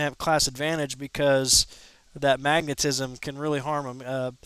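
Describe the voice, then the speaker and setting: A man with a Midwestern US accent and a fairly high pitch talks at a moderate pace in monotone, flat intonation, captured in a very clean recording with a silent background. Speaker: gaming streamer. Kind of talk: live gameplay commentary. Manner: casual, conversational.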